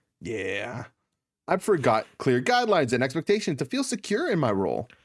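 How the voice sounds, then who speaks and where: Very wide pitch swings and vocal fry mark a man talking at a fairly quick pace on a very clean recording with a silent background. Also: fairly high pitch for a man. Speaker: podcast host. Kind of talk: casual chat.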